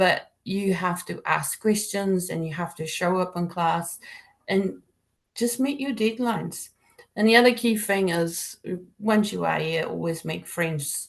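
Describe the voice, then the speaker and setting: Fairly slow delivery in a South African accent with ordinary pitch variation. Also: woman. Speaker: accounting degree program leader. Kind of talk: webinar presentation. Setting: online webinar. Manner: informal, many fillers.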